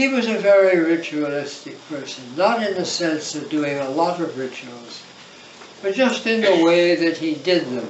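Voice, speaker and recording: A man with lively intonation, amid audible room echo and noticeable background noise. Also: moderate pace. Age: 90s. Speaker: monk. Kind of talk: reminiscing talk. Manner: halting.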